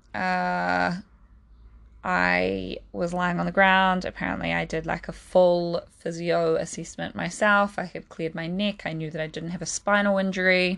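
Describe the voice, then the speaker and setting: A quiet background behind a woman talking at a very slow pace. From New Zealand. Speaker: physiotherapist. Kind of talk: personal storytelling monologue.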